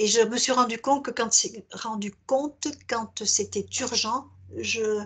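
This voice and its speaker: Over a quiet background, a woman speaks very slowly at a fairly high pitch, her intonation fairly even. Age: 70s. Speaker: hypnosis client. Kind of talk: therapy intake interview. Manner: hesitant.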